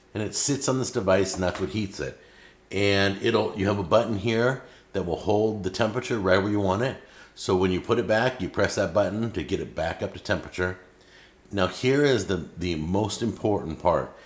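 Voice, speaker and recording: A man talks at a moderate pace with a fairly low pitch and ordinary pitch variation. Audible room echo surrounds his voice. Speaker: cooking show host. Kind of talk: product demonstration. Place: kitchen.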